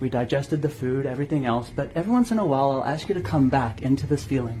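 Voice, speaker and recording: A man's fairly high voice amid noticeable background noise. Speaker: hypnosis trainer. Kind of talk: guided visualization; lecture. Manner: fast.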